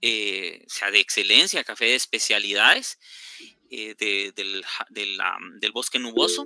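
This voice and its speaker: With a bright, sharp tone and ordinary pitch variation, a man speaks at a fairly slow pace in a very clean recording with a silent background and a dry, close sound with no echo. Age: 50s. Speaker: orchid research station director. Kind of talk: lecture Q&A.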